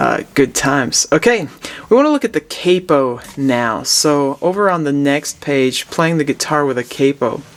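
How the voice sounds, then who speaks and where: A man with a normal speaking voice talks at a moderate pace and fairly high pitch with ordinary pitch variation. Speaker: music professor. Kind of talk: lesson. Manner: relaxed, with frequent fillers.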